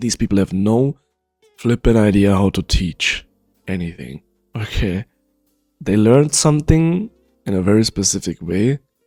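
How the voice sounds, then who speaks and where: Over music in the background, a man with a fairly low voice speaks at a moderate pace with lively intonation. He leaves long, frequent pauses, and the sound is dry and close with no echo. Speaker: League of Legends coach. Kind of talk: tutorial talk to viewers.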